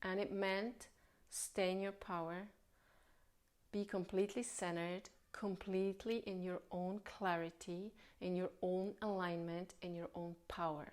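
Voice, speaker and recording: Her delivery is monotone and flat, with a woman speaking at a medium pitch and a fairly slow pace in a non-native accent. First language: not English. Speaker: spiritual healer. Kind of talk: spiritual talk.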